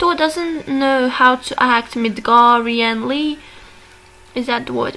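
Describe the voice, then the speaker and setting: A woman with a non-native accent and a high pitch, at a fairly slow pace, over noticeable background noise. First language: not English. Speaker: video essayist on personality types. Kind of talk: casual monologue analysis. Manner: hesitant, many fillers. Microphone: bad audio quality.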